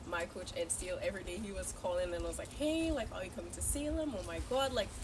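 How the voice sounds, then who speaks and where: Speaking very fast, a woman is heard through audible room echo and noticeable background noise. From Saint Lucia. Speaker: college student. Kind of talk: casual chat. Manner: animated.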